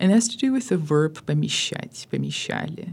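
A woman speaks with an American accent in a dark, mellow tone. Her pace is moderate. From US, Southern California (Armenian community). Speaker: professor of Russian literature. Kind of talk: interview.

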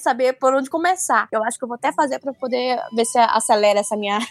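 A woman speaks at a high pitch with a northern Brazilian accent. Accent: northern Brazilian (Manaus). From Manaus, Amazonas, northern Brazil. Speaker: comics editor. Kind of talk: casual chat.

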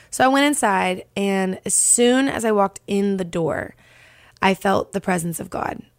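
This woman has an ordinary speaking voice, medium in pitch with ordinary pitch variation, delivered at a moderate pace. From Texas, Dallas. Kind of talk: casual interview, faith testimony.

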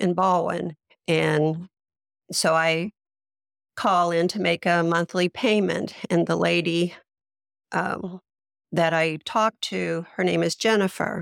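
In a dry, close recording with no echo, a woman with a fairly low pitch and an American accent speaks very slowly at a very even loudness, with long, frequent pauses. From US Midwest. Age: 60s. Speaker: long COVID patient. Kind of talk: interview testimony. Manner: hesitant, many fillers.

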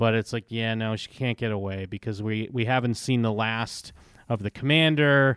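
A man with an American accent and an ordinary speaking voice, medium pitch, fairly even intonation, and a moderate pace. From Massachusetts, US. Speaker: podcast co-host. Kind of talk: casual TV recap discussion.

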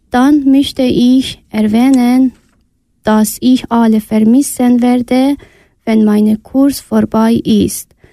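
With a non-native accent, the speaker talks at a very slow pace in a dark, mellow tone, with monotone, flat intonation and very even loudness, in a dry, close sound with no echo. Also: woman, high pitch for a woman. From Iran (Afghan family). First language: not German (speaking German). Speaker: refugee, German learner. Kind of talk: reading a prepared text.

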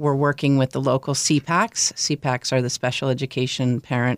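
A moderate pace in an American accent on a very clean recording with a silent background. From Northern Michigan. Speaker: children's book author. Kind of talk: interview. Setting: studio.

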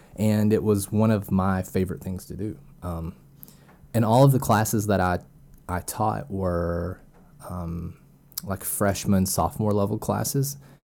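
With an Arkansas accent, a man speaks at a fairly slow pace in a dark, mellow tone, using ordinary pitch variation and long, frequent pauses. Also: fairly low pitch for a man. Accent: Arkansas drawl. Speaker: data scientist. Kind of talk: interview. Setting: at home, wife in the room. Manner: hesitant, many fillers.

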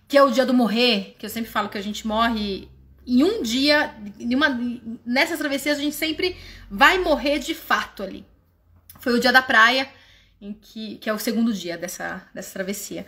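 Her pitch high and her tone bright and sharp, a woman speaks at a moderate pace with lively intonation, big swings in loudness and long, frequent pauses. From Brazil. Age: 30s. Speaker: walking group leader. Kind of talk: personal testimony. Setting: livestream. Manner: informal.

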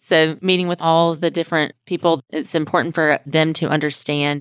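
An unremarkable speaking voice moves at a moderate pace. The recording is very clean, with a silent background and a dry, close sound with no echo. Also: woman. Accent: American. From US South, Mobile, Alabama. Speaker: trade association executive. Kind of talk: interview. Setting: conference room in an office.

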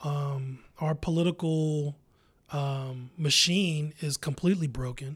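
In a very clean recording with a silent background, a man speaks at a very slow pace. His fairly high voice is somewhat breathy, with fairly even intonation. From US Midwest, Columbus, Ohio. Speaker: poet and arts organizer. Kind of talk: interview.

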